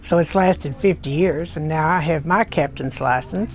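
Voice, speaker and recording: Over noticeable background noise, a woman with a Texan accent speaks at a very deep, low pitch. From Texas Panhandle, Spearman. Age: 70s. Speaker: business owner and boat captain. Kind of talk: interview testimony.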